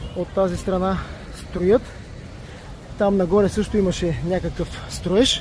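High-pitched and monotone, a man speaks at a very slow pace with long, frequent pauses, in a dry sound with no echo over light background noise. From Bulgaria. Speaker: travel vlogger. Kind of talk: travel vlog narration. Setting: outdoors on a beach. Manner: casual, conversational. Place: beach. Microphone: phone near.

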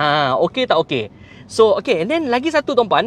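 The sound is dry with no echo, and there is light background noise. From Malaysia. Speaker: car sales coordinator. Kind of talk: live stream car review and sales pitch. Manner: code-switching Malay and English. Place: shop. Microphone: phone near.

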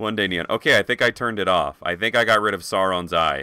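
The tone is bright and sharp, with vocal fry. The pace is fairly quick against a quiet background. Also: man, dry sound with no echo. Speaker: video game streamer. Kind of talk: live gaming stream chat. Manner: animated. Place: home room. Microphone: headset.

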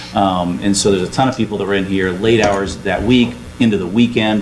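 Speaking at a very fast pace, a man uses a fairly low pitch and ordinary pitch variation over light background noise. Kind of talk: meeting report. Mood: appreciative, warm. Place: hall. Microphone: camera far.

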